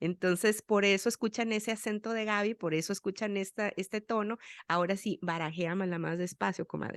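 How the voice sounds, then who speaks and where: An ordinary speaking voice from a woman at a medium pitch, fairly quick and fairly even in intonation, with a quiet background and a dry, close sound with no echo. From Sonora, Mexico. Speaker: podcast host. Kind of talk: interview chat.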